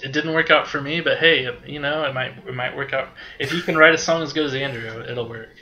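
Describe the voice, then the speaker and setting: This man has an ordinary speaking voice, pitched fairly high. He talks at a moderate pace with ordinary pitch variation and hardly any pauses. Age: 30s. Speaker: podcast guest, music fan. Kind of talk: casual chat.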